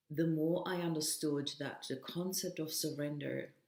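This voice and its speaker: A woman speaks in a monotone with flat intonation and a warm tone. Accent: non-native. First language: not English. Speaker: self-development coach. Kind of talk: motivational vlog monologue. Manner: warm, casual with fillers.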